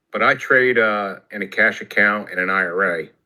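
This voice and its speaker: A man speaks with an American accent at a fairly slow pace. His voice sits fairly low, with a bright, sharp tone and fairly even intonation. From New Jersey. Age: 60s. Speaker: retired telecom worker, trading student. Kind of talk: casual group video chat.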